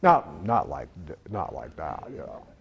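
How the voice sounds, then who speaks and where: This is a man speaking. He keeps a moderate pace. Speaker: seminar speaker. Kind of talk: live seminar talk. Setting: stage with audience. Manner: loud.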